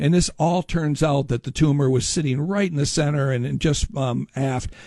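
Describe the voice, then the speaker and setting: Somewhat breathy, with a dark, mellow tone and an American accent, in a dry, close sound with no echo. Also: man. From Upper Peninsula of Michigan (Marquette). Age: 60s. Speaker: shipwreck historian and lecturer. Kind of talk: radio interview. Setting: radio studio.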